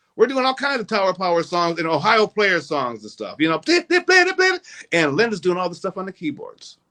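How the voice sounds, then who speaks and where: A man with an American accent projects a raised voice at a high pitch, his tone bright and sharp and his intonation lively. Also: fairly quick pace. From North Minneapolis, US Midwest. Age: 60s. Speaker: musician. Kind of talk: interview.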